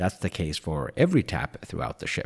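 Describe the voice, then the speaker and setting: Here a man with a Swedish accent speaks with vocal fry. The sound is dry and close with no echo, on a very clean recording with a silent background. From Sweden. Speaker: travel vlogger. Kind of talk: scripted narration.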